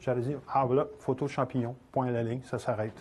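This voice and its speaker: A somewhat breathy man at a fairly quick pace against a quiet background. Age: 60s. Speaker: photographer and instructor. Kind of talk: lecture. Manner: halting.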